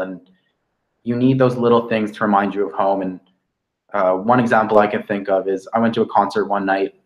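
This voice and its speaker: A man speaks at a fairly quick pace in a fairly low pitch. His intonation is fairly even, in an unremarkable speaking voice. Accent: Canadian. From Canada. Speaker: veterinary student. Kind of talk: webinar talk. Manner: casual, many fillers.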